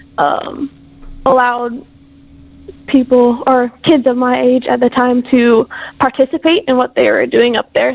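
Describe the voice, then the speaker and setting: A woman with a high pitch talks at a fairly slow pace while noticeable background noise fills the recording. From Hawaii, Big Island. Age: 20s. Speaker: university student. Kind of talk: interview.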